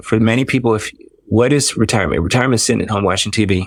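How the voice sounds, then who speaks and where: In an American accent, a man speaks at a very fast pace with ordinary pitch variation on a very clean recording with a silent background. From Washington DC area. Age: 60s. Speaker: dermatologist. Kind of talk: podcast interview.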